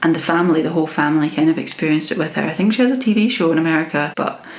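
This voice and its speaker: Against noticeable background noise, a woman with a Scottish accent speaks at a very deep, low pitch. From Scotland. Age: 20s. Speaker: book reviewer. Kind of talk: casual talk to camera.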